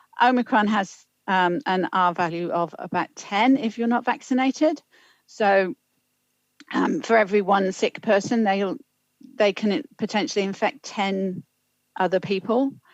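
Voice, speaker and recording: A woman with a British accent speaks fairly slowly at a medium pitch, with ordinary pitch variation and long, frequent pauses. The sound is dry and close, with no echo. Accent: UK. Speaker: public health official. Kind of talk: council meeting briefing.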